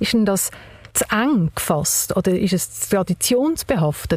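A woman with a medium pitch speaks at a very slow pace with ordinary pitch variation. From Baden, Aargau, Switzerland. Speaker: podcast host. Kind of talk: interview. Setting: car.

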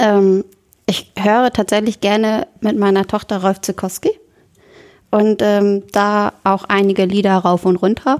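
A woman speaks in a plain, everyday voice at a medium pitch and a fairly slow pace. Her intonation is fairly even, and the sound is dry and close with no echo. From northern Germany, Oldenburg area (Lower Saxony). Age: 20s. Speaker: church youth volunteer. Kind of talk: casual chat.

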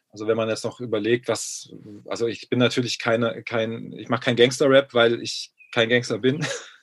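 A man with a medium pitch talks at a moderate pace, his intonation monotone and flat. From Baden-Württemberg, Germany. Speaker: rapper and music producer, former pediatrician. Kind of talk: casual chat.

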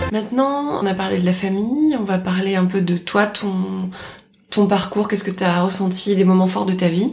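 The voice has ordinary pitch variation and moves at a moderate pace. Music plays in the background, and there is audible room echo. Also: woman, medium pitch for a woman. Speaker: host's best friend. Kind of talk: casual chat, interviewing the host. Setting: home of the host's friend.

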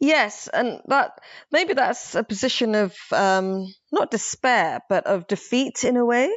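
With a London accent, a woman speaks in very wide pitch swings. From London, England (born Somaliland). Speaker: novelist. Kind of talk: casual literary discussion.

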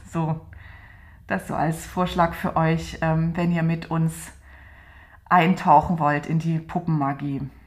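A woman speaks in a fairly low pitch with monotone, flat intonation. She goes at a very slow pace, with long, frequent pauses. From Saxony, Dresden (East Germany). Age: 40s. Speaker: doll maker and podcast co-host. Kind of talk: casual conversation. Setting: home studio in an apartment.

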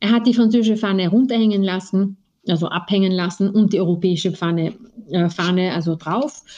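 Fairly quick speech from a woman at a medium pitch, in a dark, mellow tone with ordinary pitch variation. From Austria. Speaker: lawyer. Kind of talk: interview. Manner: hesitant, many fillers.

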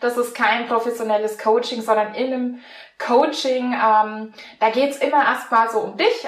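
In a Franconian accent, a woman talks at a moderate pace with a high pitch and ordinary pitch variation. The room echo is audible, and background noise is noticeable. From Franconia, Germany. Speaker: mental coach and mountain bike instructor. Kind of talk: interview.

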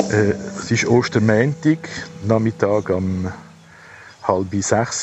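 Over noticeable background noise, a man talks at a fairly low pitch with ordinary pitch variation. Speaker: retired psychologist. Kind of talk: personal audio diary. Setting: outdoors at a cemetery.

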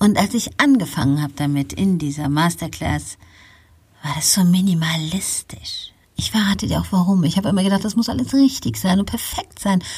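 A woman with a fairly low pitch speaks at a moderate pace, somewhat breathy, her intonation lively. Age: 50s. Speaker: podcast host, pastoral counselor. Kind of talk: solo podcast monologue, motivational. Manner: unscripted, freely spoken.

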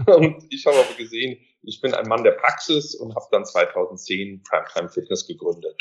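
A man speaking at a moderate pace. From Germany, Mainz. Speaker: university lecturer in fitness economics. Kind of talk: podcast interview.

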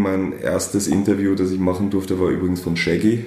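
A man's very deep, low voice at a fairly quick pace, with audible room echo and noticeable background noise. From outside Austria, German-speaking. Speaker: music magazine editor-in-chief, festival marketer. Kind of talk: interview.

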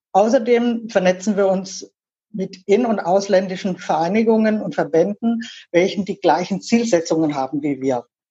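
At a moderate pace, a woman with a medium pitch and a dark, mellow tone sounds somewhat breathy, with ordinary pitch variation. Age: 50s. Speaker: LGBTQ association board member. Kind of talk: interview.

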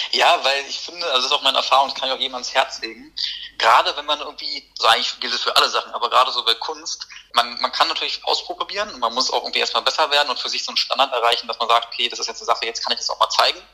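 Very fast and with ordinary pitch variation, a man talks. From Berlin, Germany. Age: 20s. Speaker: poet. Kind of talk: casual interview chat.

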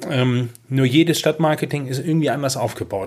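A man's plain, everyday voice of medium pitch, at a moderate pace, with normal pitch variation. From northern Germany, Schleswig-Holstein (Kropp near Schleswig). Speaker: city marketing manager. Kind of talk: interview. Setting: at the guest's table.

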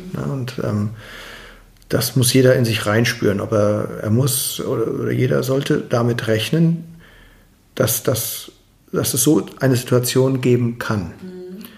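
With vocal fry and a medium pitch, a man speaks at a very slow pace with ordinary pitch variation and long, frequent pauses. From Germany, Mainz. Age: 40s. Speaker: construction business owner. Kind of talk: interview.

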